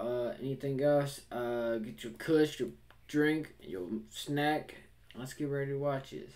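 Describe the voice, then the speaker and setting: A man at a very slow pace, with ordinary pitch variation. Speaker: reaction video host. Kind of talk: casual vlog chat. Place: home room.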